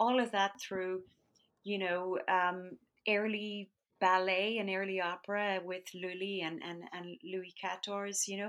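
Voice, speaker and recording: A woman's medium-pitched voice with an American accent, fairly slow and monotone in flat intonation, on a very clean recording with a silent background. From West of Ireland (County Galway). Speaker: composer and conductor. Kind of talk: interview.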